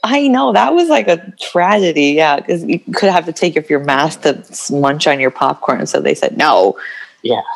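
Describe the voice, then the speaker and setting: With an American accent, a woman talks at a moderate pace with very even loudness. Noticeable background noise is present. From Oregon, US. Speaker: guest, export coordinator. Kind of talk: casual chat.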